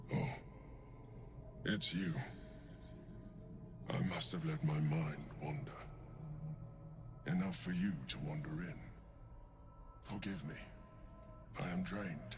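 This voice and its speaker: A man uses a put-on character voice with a very deep, low pitch, speaking at a fairly slow pace. He leaves long, frequent pauses over clear background noise. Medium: video game. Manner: measured, formal, deliberate.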